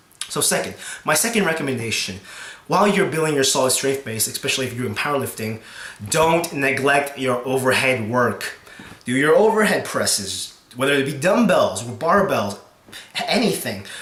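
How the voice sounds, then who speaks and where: Over noticeable background noise, the speaker moves at a moderate pace while the pitch swings very widely. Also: man, fairly high pitch for a man. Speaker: strongman and powerlifting competitor. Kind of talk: casual talk to camera. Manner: hesitant, stuttering with many fillers.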